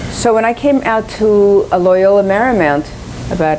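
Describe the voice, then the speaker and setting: Speaking with lively intonation and a Spanish accent, a woman is heard over noticeable background noise and audible room echo. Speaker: education professor and researcher. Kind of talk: lecture.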